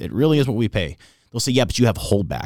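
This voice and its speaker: A man with vocal fry at a very fast pace, on a very clean recording with a silent background. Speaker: car sales manager. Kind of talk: casual interview chat.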